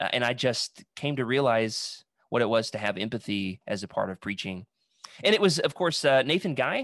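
A man with an American accent in an ordinary speaking voice, medium in pitch, with lively intonation, a quiet background and a dry, close sound with no echo. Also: moderate pace. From Arkansas, US South. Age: 20s. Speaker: preacher. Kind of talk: podcast interview.

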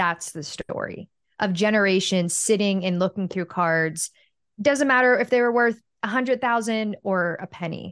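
With an American accent, this speaker talks at a moderate pace with ordinary pitch variation, the sound dry and close with no echo against a quiet background. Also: woman, medium pitch for a woman. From US, Pittsburgh. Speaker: former sportscaster. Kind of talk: interview.

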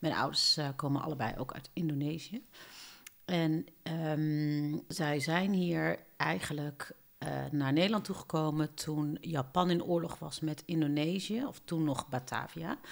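A woman's very deep, low pitch, at a very slow pace with ordinary pitch variation. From southern Netherlands, Eindhoven. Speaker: podcast co-host. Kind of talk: casual chat. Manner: halting.

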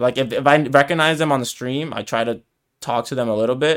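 With an American accent, a man speaks in an ordinary speaking voice at a fairly quick pace, medium pitch and ordinary pitch variation, in a very clean recording with a silent background. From New York, US (Dominican family). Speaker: podcast co-host, English teacher. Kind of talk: casual chat.

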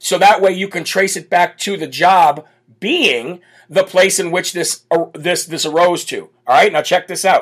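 A man speaks loudly at a high pitch, his raspy, croaky voice carrying a slightly husky edge and few pauses. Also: ordinary pitch variation, fairly slow pace.

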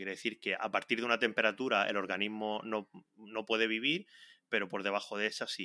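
Very fast and fairly low, a man speaks in a bright, sharp tone. The sound is dry and close with no echo, the recording very clean against a silent background. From Spain, Region of Murcia. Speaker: podcast host, researcher. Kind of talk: casual interview.

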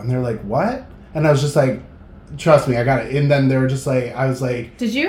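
With an American accent, a man talks at a very fast pace in an animated tone and a fairly high pitch, with audible room echo. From New Hampshire, US. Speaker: concert promotions manager. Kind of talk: casual chat.

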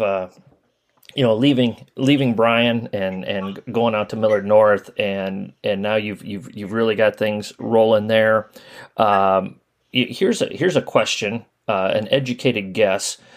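The man has a plain, everyday voice at a medium pitch. He talks at a fairly slow pace. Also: ordinary pitch variation. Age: 40s. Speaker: basketball coaching podcast host. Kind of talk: interview.

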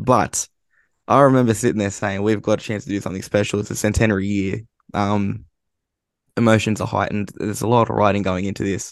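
Over a quiet background, a man with an Australian accent talks at a very fast pace, his pitch fairly low and his intonation monotone and flat. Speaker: football writer. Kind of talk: casual chat.

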